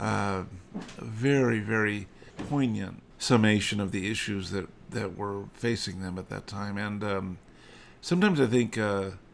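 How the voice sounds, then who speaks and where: A man talks with an American accent at a fairly low pitch. His pace is moderate. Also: ordinary pitch variation. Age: 60s. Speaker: farm owner and historical reenactor. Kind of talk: casual monologue update. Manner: hesitant, many fillers.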